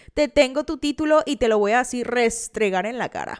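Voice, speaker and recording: An animated woman's voice, fairly high in pitch, with a slight Veracruz accent, on a very clean recording with a silent background and a dry, close sound with no echo. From Veracruz, Mexico. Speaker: podcast host. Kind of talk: casual true-crime storytelling.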